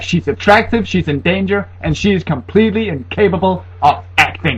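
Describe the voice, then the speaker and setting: A man's voice with vocal fry. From Denmark. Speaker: horror movie reviewer. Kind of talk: comedic movie review to camera. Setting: laptop built-in microphone. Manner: sarcastic, humorous.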